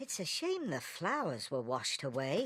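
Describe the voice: A cartoonish character voice, female-sounding.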